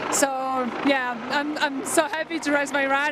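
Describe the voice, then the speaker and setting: Over noticeable background noise, a woman with a Polish accent talks at a moderate pace in a high pitch with monotone, flat intonation. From Poland. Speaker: professional freeride snowboarder. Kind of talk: post-competition interview. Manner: halting.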